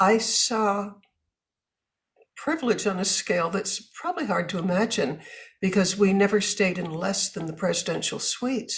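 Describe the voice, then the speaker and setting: A woman speaks in a somewhat breathy voice with lively intonation. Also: medium pitch for a woman, moderate pace. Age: 80s+. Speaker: author and businesswoman. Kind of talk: interview.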